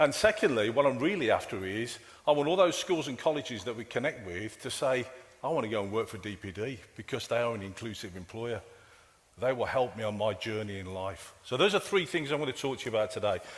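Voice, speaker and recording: Here a man speaks with a Brummie accent. His intonation is lively and his pace fairly quick. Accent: Brummie (Birmingham). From England, Birmingham. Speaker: IT director and keynote speaker. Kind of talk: conference keynote. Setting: conference stage with audience. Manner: casual, halting with fillers and repetitions.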